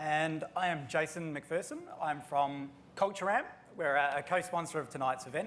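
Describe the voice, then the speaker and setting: In an Australian accent, a man talks at a moderate pace. His pitch is fairly high, with ordinary variation. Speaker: chief scientist at an HR analytics company. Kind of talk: panel discussion.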